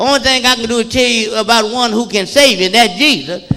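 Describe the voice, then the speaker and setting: Over noticeable background noise, a man with an extremely high pitch talks at a fairly quick pace in a raised, projected voice. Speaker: pastor. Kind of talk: sermon. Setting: church. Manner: fast; animated.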